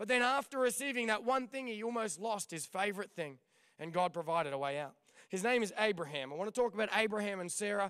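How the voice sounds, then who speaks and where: A man with a high voice speaks very fast in an animated tone with lively intonation. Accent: Australian. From Australia. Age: young. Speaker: pastor. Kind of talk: sermon. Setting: church stage.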